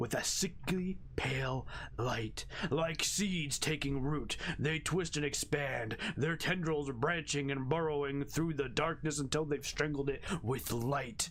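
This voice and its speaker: In a put-on character voice, a man talks at a fairly slow pace, raspy and fairly high in pitch. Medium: game stream. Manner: solemn, ominous.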